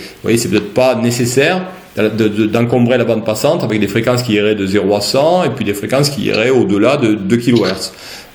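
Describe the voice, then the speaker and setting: Fairly quick speech from a man at medium pitch, with ordinary pitch variation, audible room echo and noticeable background noise. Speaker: university lecturer. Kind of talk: lecture. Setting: online class from home. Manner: halting, many repetitions and fillers.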